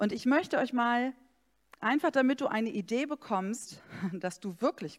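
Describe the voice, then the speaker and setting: On a very clean recording with a silent background, a woman with a fairly high pitch speaks at a very slow pace with very wide pitch swings. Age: 40s. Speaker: pastor. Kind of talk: sermon.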